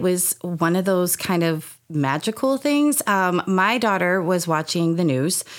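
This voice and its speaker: At a fairly slow pace, a woman speaks with lively intonation and a medium pitch. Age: 40s. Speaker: youth theatre program director. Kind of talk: interview. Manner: hesitant, many fillers.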